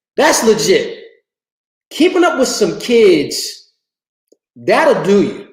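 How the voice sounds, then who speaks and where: A man talks with very wide pitch swings, and audible room echo surrounds his voice. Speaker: livestream host, fitness enthusiast. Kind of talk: casual livestream chat. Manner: fast; animated, conversational.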